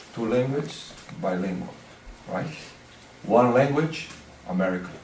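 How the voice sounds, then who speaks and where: At a moderate pace, a man speaks with audible room echo and noticeable background noise. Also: medium pitch for a man, lively intonation. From Brazil. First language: Portuguese. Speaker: martial arts teacher. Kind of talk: lecture. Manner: halting.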